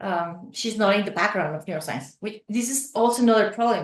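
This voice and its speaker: A woman with a Spanish accent talks at a moderate pace. Her medium-pitched voice is somewhat breathy. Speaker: neuroscientist running outreach program. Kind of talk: interview conversation. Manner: animated.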